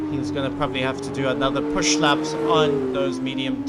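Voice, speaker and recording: Noticeable background noise behind a man speaking in a fairly high register. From South Africa. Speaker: sim racing commentator. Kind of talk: live commentary.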